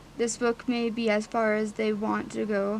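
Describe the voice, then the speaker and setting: A woman with a fairly high pitch speaks at a very slow pace. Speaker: audiobook reader. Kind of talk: book reading aloud. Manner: hesitant, stuttering.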